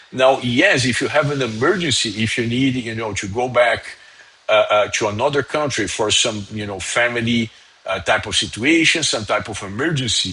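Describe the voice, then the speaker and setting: With noticeable background noise, a man talks at a moderate pace, with medium pitch and ordinary pitch variation. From Brazil, São Paulo. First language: Portuguese. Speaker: immigration lawyer. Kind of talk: live stream Q&A. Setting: live stream. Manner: halting, many fillers.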